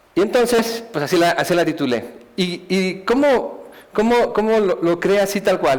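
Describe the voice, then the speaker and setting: A man talks at a fairly slow pace, his pitch high with ordinary variation. Background noise is noticeable. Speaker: speaker giving a life testimony. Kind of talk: testimony talk. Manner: halting, many repetitions.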